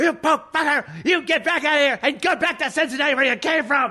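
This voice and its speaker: A man performs a put-on character voice at an extremely high pitch. He speaks at a fairly quick pace. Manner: angry, hostile.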